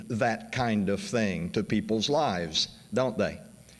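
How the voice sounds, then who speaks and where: Audible room echo colors the speech of a man with an American accent. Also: very even loudness. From US South, western Arkansas / Oklahoma. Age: 60s. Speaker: history professor. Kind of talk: conference introduction speech.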